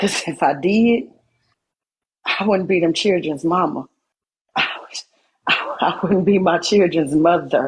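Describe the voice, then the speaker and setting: Long, frequent pauses mark this somewhat breathy voice, which keeps a fairly slow pace, ordinary pitch variation and very even loudness. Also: woman, fairly low pitch for a woman. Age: 40s. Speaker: livestreamer. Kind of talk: emotional live-stream monologue. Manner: animated.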